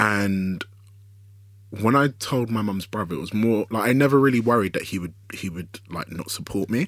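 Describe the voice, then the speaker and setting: A fairly low-pitched man with a London accent at a moderate pace, on a very clean recording with a silent background. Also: ordinary pitch variation. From South London (Woolwich), Nigerian heritage. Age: 20s. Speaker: writer and director. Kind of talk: casual interview chat.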